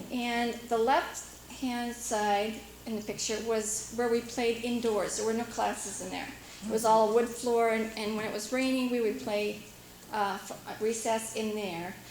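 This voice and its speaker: In an American accent, a woman speaks at a fairly high pitch and a fairly slow pace, her intonation monotone and flat. The recording carries audible room echo and noticeable background noise. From US Pacific Northwest, Washington island. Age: 50s. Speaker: local resident sharing memories. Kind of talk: casual reminiscence at community meeting. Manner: hesitant, many fillers.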